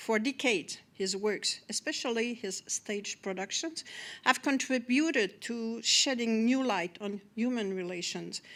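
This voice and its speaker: On a very clean recording with a silent background, a voice with a Quebec accent speaks fairly slowly with ordinary pitch variation. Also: woman, fairly high pitch for a woman. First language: French. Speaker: government official. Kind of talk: formal welcome speech. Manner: formal; halting.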